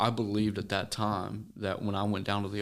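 The speaker has an American accent and keeps a moderate pace. The intonation is flat and monotone. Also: man, very clean recording, silent background. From Missouri, US Midwest. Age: 20s. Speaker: recovering addict and ministry guest. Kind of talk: casual interview, testimony.

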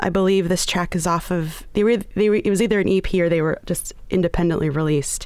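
A woman's ordinary speaking voice at medium pitch, fairly quick in pace, with fairly even intonation. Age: young. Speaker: music journalist. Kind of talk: radio interview. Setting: radio studio.

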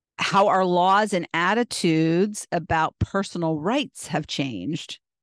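Against a quiet background, a plain, everyday voice with an American accent and lively intonation comes through with a dry, close sound and no echo. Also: woman. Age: 60s. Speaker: podcast host. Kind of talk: solo podcast monologue.

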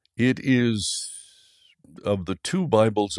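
Here a man speaks with an American accent at a fairly low pitch. The sound is dry and close with no echo. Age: 70s. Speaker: Bible narrator and voice-over artist. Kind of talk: interview. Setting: remote call from home studio.

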